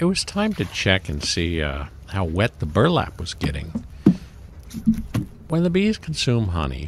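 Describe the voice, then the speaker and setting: Against noticeable background noise, a man talks at a fairly slow pace with long, frequent pauses. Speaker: beekeeper. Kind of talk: narrated tutorial. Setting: outdoors in cold weather. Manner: casual, with many fillers.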